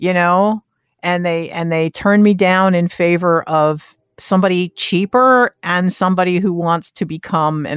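In an unremarkable speaking voice, a woman talks at a fairly slow pace with a fairly low pitch, the sound dry and close with no echo. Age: 60s. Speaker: podcast co-host and sound engineer. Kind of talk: casual chat. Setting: remote recording.

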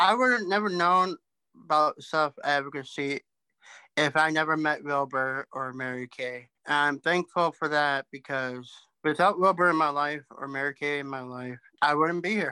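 An American-accented man speaks at a moderate pace in a bright, sharp tone with a fairly high pitch. His pitch variation is ordinary, and the sound is dry and close with no echo. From southern Minnesota. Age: 30s. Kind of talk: interview.

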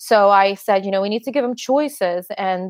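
Dry and close with no echo, this is a woman with an unremarkable speaking voice at a medium pitch. She talks at a moderate pace with ordinary pitch variation. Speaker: high school English teacher. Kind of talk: interview.

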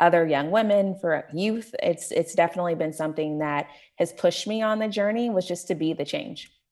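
With an American accent, a woman talks at a moderate pace in a fairly low voice. Hers is an unremarkable speaking voice, with lively intonation. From Tulsa, Oklahoma. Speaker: nonprofit executive director. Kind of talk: interview.

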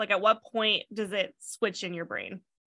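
A bright, sharp tone comes through at a moderate pace in a dry, close sound with no echo, on a very clean recording with a silent background. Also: woman. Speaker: podcast host and editor. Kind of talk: interview.

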